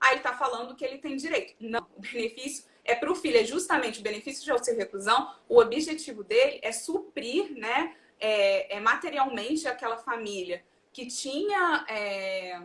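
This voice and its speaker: The woman's pitch is high and her intonation lively. She keeps a moderate pace, with big swings in loudness. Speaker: social security lawyer. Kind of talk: live-stream legal talk. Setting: online live stream. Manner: halting, many fillers.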